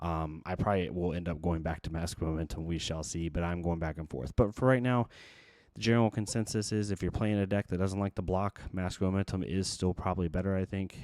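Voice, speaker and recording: A soft-spoken man with a very deep, low pitch at a fairly quick pace. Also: very clean recording, silent background. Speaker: card game content creator. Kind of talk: deck profile tutorial. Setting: home recording at night. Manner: soft-spoken, quiet.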